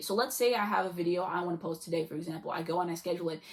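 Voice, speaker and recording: A woman speaks at a very fast pace with a fairly low pitch and ordinary pitch variation. Noticeable background noise runs underneath. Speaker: YouTube vlogger. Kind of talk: casual vlog monologue.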